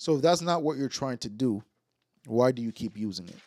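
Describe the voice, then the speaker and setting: An ordinary speaking voice, this man's sits at a medium pitch with ordinary pitch variation. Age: 20s. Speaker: podcast co-host. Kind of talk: casual chat.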